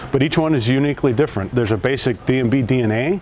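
Noticeable background noise sits under a man's voice. He speaks at a medium pitch with fairly even intonation. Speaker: company president and CEO. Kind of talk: speech at store opening.

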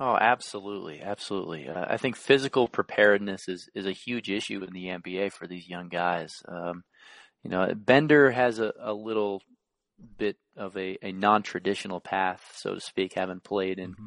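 A man with an unremarkable speaking voice talks at a moderate pace, fairly low in pitch with ordinary pitch variation and big swings in loudness. The sound is dry and close with no echo, against a quiet background. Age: 20s. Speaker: basketball coach. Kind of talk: casual chat.

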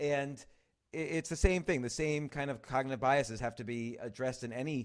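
An unremarkable speaking voice, a man of medium pitch with an American accent talks at a fairly quick pace with ordinary pitch variation, on a very clean recording with a silent background. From New York City. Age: 50s. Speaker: writer and comedy club owner. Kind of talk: casual chat.

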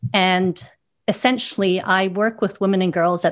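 In an ordinary speaking voice, a woman talks at medium pitch with ordinary pitch variation. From Canada, Vancouver. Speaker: philanthropist and foundation chair. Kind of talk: panel discussion.

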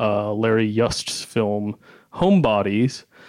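This man has a plain, everyday voice. He speaks at a fairly slow pace. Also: quiet background. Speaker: film critic. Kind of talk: panel discussion.

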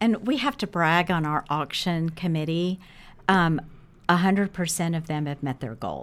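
In a very clean recording with a silent background, a woman with an ordinary speaking voice talks at a moderate pace, her fairly low pitch showing ordinary variation. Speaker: event co-chair. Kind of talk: casual interview chat.

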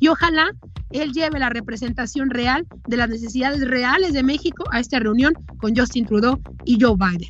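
Over noticeable background noise, a woman speaks at a moderate pace. Her pitch is high, with ordinary variation. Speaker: political commentator. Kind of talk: editorial commentary.

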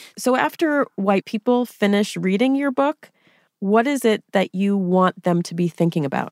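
With a normal speaking voice and an American accent, a woman speaks at a medium pitch and moderate pace with lively intonation, in a dry, close recording with no echo, very clean, with a silent background. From US, New Hampshire. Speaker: podcast host. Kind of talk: interview conversation; scripted narration.

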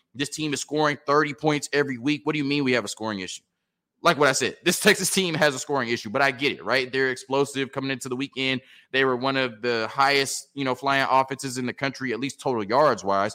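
Bright and sharp, a man's voice races along at a very fast pace. His tone is animated, with ordinary pitch variation. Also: medium pitch for a man, very clean recording, silent background. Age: 30s. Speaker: sports podcast host. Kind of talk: casual sports talk monologue.

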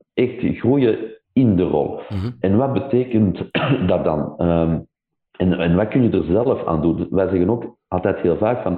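With lively intonation, a man speaks at a fairly low pitch. His pace is fairly slow. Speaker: tech company country director. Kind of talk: interview. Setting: remote call.

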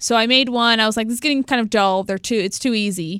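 A woman's plain, everyday voice, fairly high in pitch, with ordinary pitch variation, on a very clean recording with a silent background. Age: 20s. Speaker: video game journalist. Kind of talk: casual chat.

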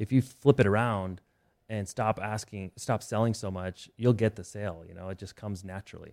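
With an American accent and an unremarkable speaking voice, the speaker keeps fairly even intonation despite big swings in loudness, on a very clean recording with a silent background and a dry, close sound with no echo. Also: man, fairly low pitch for a man, fairly quick pace. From Nevada, small town. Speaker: CEO and content creator. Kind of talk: interview. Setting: studio.

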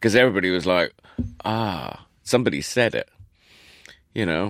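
At a moderate pace, a man talks in a fairly low pitch with vocal fry. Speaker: chef and restaurateur. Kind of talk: casual chat.

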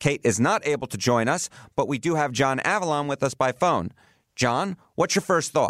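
In a very clean recording with a silent background, a man with a New York accent talks at a fairly high pitch with lively intonation. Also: moderate pace. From New York City. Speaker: podcast host. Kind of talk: political discussion podcast.

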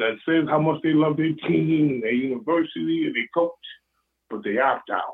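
With an American accent, a man talks in an ordinary speaking voice, fairly high in pitch with ordinary pitch variation at a moderate pace. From Western New York. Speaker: caller, fan. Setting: phone call.

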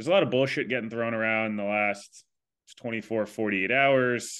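With a plain, everyday voice, a man speaks at a fairly quick pace in a medium pitch with ordinary pitch variation. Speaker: podcast host. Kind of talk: casual chat.

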